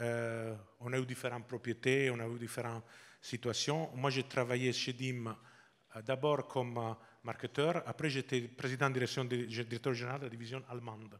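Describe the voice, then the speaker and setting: At a moderate pace and with a slight Italian accent, the speaker talks in a flat monotone over a silent background in a very clean recording. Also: man, medium pitch for a man. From Italy, Sardinia. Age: 50s. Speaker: business executive. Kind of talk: interview. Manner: halting.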